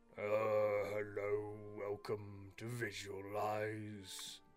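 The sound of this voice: A gravelly, put-on character voice speaks very slowly in a monotone, flat delivery, with faint music in the background. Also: man, fairly low pitch for a man.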